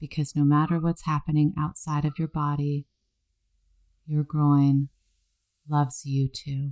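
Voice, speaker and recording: At a fairly slow pace, a dark, mellow voice speaks in a flat monotone with long, frequent pauses, recorded very cleanly against a silent background with a dry, close sound and no echo. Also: woman, very deep, low pitch for a woman. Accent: American. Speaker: sex coach and astrologer. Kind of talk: casual interview chat.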